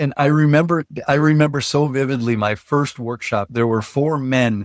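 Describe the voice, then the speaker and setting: With an American accent and an unremarkable speaking voice, a man talks at a medium pitch and moderate pace with ordinary pitch variation, in a dry, close sound with no echo on a very clean recording with a silent background. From northern Minnesota. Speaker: trainer. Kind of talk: podcast interview.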